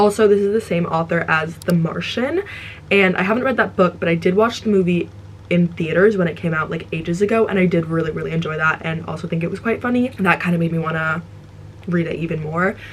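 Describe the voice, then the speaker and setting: Noticeable background noise sits under a woman speaking at a very fast pace. Her pitch is fairly low, with ordinary pitch variation. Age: 20s. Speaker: book reviewer. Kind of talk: casual chat. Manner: halting.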